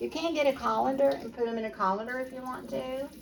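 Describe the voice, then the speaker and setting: A woman with an American accent speaks with lively intonation amid noticeable background noise. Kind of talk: casual cooking tutorial to camera.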